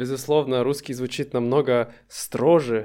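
At a very slow pace, a man with a medium pitch and a dark, mellow tone speaks with fairly even intonation. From Russia. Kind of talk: casual chat.

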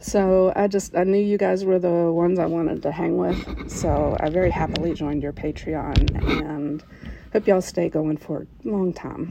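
A woman's fairly low voice at a moderate pace, with fairly even intonation and noticeable background noise. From West Virginia, US. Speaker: listener submitting a story. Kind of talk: recorded personal story.

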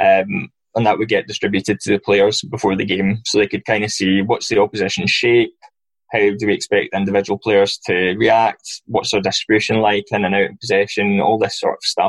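With a Glaswegian accent, the speaker moves at a fairly quick pace in a dry, close sound with no echo. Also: man. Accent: Glaswegian Scottish. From Scotland, Glasgow. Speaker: football recruitment analyst. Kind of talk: interview.

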